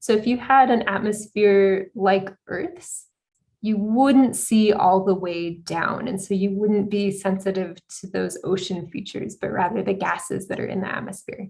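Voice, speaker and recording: Somewhat breathy, a woman with an American accent talks at a moderate pace and a medium pitch, her intonation fairly even. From United States. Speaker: astronomer, exoplanet researcher. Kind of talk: conference talk Q&A.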